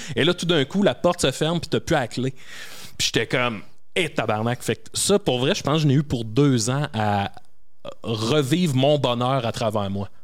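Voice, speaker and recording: With a Quebec accent, a man of medium pitch talks at a moderate pace with lively intonation. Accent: Québécois French. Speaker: comedian. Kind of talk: casual chat.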